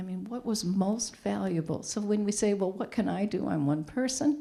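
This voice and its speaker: A woman's somewhat breathy, dark and mellow voice at medium pitch, with ordinary pitch variation and a moderate pace. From New England. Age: 60s. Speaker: counseling and human services trainer. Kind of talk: public talk.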